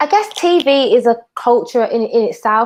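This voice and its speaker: A woman talks with a strong Brummie accent. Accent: thick Brummie. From Birmingham, England. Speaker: TV industry professional. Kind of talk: casual chat.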